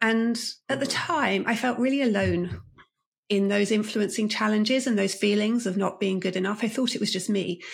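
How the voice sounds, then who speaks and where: A somewhat breathy, fairly high female voice with very even loudness, ordinary pitch variation and a moderate pace. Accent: British. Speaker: leadership coach and author. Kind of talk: interview.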